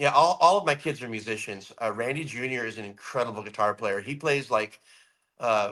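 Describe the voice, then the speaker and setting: A man talks loudly at a fairly quick pace. His tone is bright and sharp, with ordinary pitch variation. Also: medium pitch for a man. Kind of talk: casual chat. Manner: animated.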